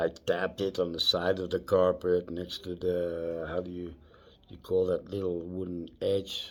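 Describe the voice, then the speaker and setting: Speaking in a Dutch accent, a man has a very deep, low pitch. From Netherlands. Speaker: vlogger. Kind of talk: personal storytelling vlog. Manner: halting.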